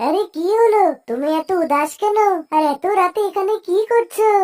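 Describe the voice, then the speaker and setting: Squeaky and extremely high-pitched, a woman performs a cartoonish character voice with lively intonation. Her moderate pace comes through in a dry, close sound with no echo. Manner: forward, curious.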